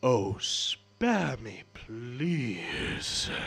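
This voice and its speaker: A booming put-on character voice from a man at a medium pitch. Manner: dismissive, annoyed.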